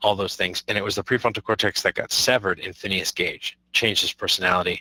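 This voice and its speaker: Recorded very cleanly against a silent background, a man talks at a very fast pace in a dry, close sound with no echo. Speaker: high school teacher. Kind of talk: lecture. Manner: halting.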